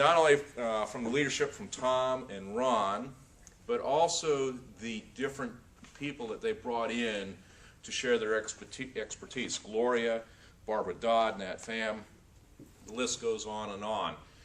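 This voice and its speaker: An ordinary speaking voice from a man with an American accent, at a medium pitch with ordinary pitch variation, a fairly slow pace and big swings in loudness. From North Florida, later California. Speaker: aspiring professional speaker. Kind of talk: testimonial.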